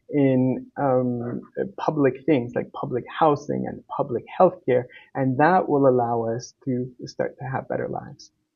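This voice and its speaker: A man at a medium pitch has an ordinary speaking voice with ordinary pitch variation. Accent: Canadian. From Uruguay, came to Canada as a child. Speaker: political candidate. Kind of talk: interview. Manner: frequent filler words.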